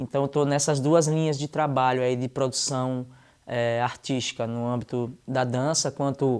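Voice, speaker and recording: A man with a plain, everyday voice and fairly even intonation on a very clean recording with a silent background. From Recife, Pernambuco, Brazil. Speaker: dancer and musician. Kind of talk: interview. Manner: casual.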